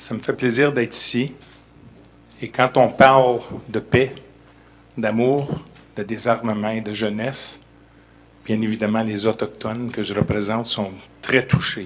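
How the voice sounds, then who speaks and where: In a Canadian French accent, a man talks at a medium pitch and a fairly slow pace, with fairly even intonation and long, frequent pauses. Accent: Canadian French accent, noticeable. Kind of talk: formal speech at press event.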